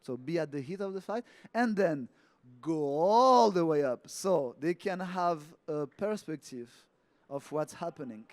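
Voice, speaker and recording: A man with a French accent and a high pitch, lively in intonation and fairly slow in pace, on a very clean, dry, close recording with no echo and a silent background. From France. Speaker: yoga teacher. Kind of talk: talk.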